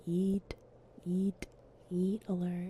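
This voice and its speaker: The voice is somewhat breathy, with a dark, mellow tone. Delivery is very slow, in a monotone, flat intonation. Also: woman. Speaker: ASMR streamer. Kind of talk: fairy tale reading. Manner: whispered, soft.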